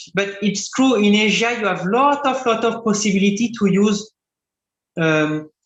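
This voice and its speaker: A high-pitched man's voice with ordinary pitch variation. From France. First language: French. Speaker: composites engineering expert. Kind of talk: Q&A answer in webinar lecture. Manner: halting, many fillers and restarts.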